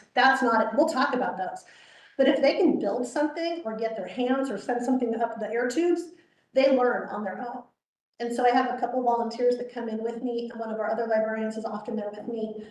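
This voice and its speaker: A loud, high-pitched woman's voice at a fairly quick pace, with ordinary pitch variation and audible room echo. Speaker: children's librarian. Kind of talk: informal presentation at a public meeting. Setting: board meeting, livestreamed. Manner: fast; loud and vivacious.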